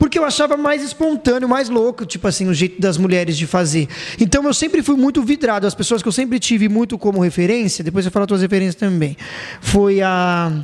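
Over noticeable background noise, a man speaks at a fairly quick pace in a high pitch, his intonation lively and his loudness very even. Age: 30s. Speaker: radio announcer and podcast host. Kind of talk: casual chat.

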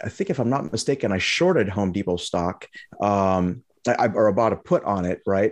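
A man with an American accent has an ordinary speaking voice and a fairly low pitch with ordinary pitch variation. He talks at a fairly quick pace against a quiet background. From Lebanon, raised in the US from age four. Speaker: trading educator and company CEO. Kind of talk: interview.

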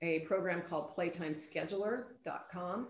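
Audible room echo surrounds a woman speaking at a fairly slow pace in a fairly low pitch. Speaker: pickleball club president, retired PE teacher. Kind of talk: interview.

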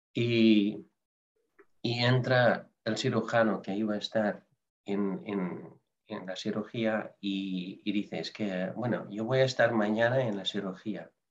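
A man speaks at a very slow pace. His voice is fairly low and his intonation fairly even. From Netherlands. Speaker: nurse. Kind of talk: interview.

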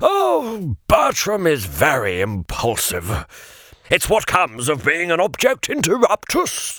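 A man puts on a character voice at high pitch. He speaks at a fairly slow pace. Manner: formal, scolding, weary.

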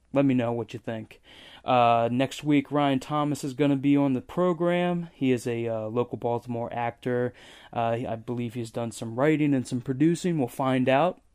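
In an American accent, a man with a plain, everyday voice speaks at medium pitch and a moderate pace, with ordinary pitch variation against a quiet background. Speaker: podcast host. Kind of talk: casual chat. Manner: casual, profane.

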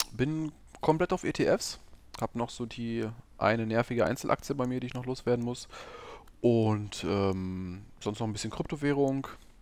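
A man speaks at a moderate pace and a medium pitch, with ordinary pitch variation and long, frequent pauses. The recording is very clean, with a silent background. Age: 30s. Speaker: podcast host, hobby investor. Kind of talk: casual chat.

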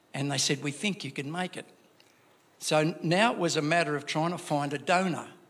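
A man's fairly high voice with an Australian accent, fairly even intonation, and a fairly quick pace. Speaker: church member. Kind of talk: testimony. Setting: church. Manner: halting.

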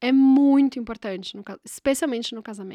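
In a very clean recording with a silent background and a dry, close sound with no echo, a woman speaks in a high, animated voice. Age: 30s. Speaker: podcast host. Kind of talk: casual monologue.

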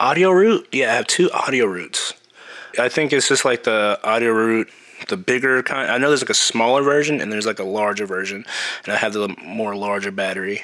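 A man with an unremarkable speaking voice talks at a fairly quick pace and medium pitch, using lively intonation. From US Midwest, Kansas City, Missouri. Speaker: production sound mixer. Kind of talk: casual interview.

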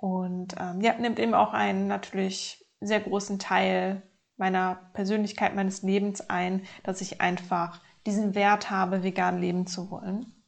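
The woman's pitch sits in the medium range as she talks at a very slow pace. Behind her, the background stays quiet. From Germany, North Rhine-Westphalia. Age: 30s. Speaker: podcast host and life coach. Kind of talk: personal monologue.

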